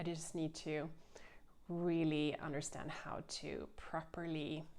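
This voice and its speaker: A woman's very deep, low voice, very slow and monotone with flat intonation. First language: Swedish. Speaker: knitting podcaster. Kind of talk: casual chat. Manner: halting.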